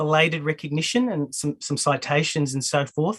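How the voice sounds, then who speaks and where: A bright, sharp tone in an Australian accent at a moderate pace. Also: man. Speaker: academic. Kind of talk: lecture. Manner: halting.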